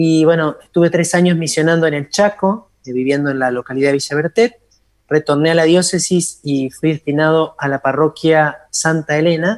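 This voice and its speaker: On a dry, close recording with no echo, a man with an unremarkable speaking voice talks at a moderate pace, his fairly high pitch kept in fairly even intonation. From Argentina, Entre Ríos. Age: 40s. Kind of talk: interview.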